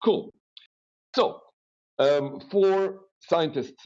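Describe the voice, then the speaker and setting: A man speaks with a Flemish accent. His pace is very slow. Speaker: webinar trainer. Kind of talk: webinar lecture. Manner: animated.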